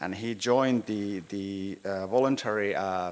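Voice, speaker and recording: The recording is very clean, with a silent background. A Finnish accent comes through at a fairly slow pace with ordinary pitch variation. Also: man. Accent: Finnish accent, rusty English. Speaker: city planning architect. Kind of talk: presentation at a meeting. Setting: town hall meeting room. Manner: halting, many hesitations.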